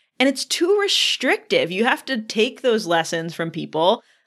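A woman with an unremarkable speaking voice, medium pitch and a fairly slow pace against a quiet background. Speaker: podcast host. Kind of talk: casual interview chat.

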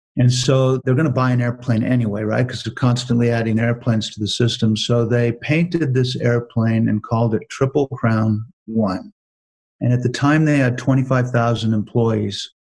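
A man speaks in a medium pitch that is somewhat breathy. His intonation is fairly even. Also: moderate pace. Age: 60s. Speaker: business author and speaker. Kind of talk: interview.

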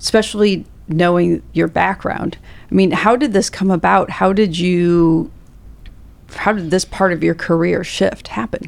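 Here is a woman with a normal speaking voice and fairly low pitch. She talks at a fairly slow pace with ordinary pitch variation. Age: 40s. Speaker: podcast host and financial advisor. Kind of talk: interview conversation.

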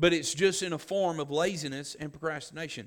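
Here a man with a Southern US accent talks in a fairly high pitch at a moderate pace. His pitch varies in an ordinary way on a very clean recording with a silent background. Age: 40s. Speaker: pastor. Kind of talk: sermon. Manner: halting.

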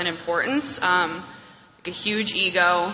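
With an American accent, a woman talks at a moderate pace and medium pitch over noticeable background noise. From New York. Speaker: AA speaker. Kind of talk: testimony. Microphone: echoey room.

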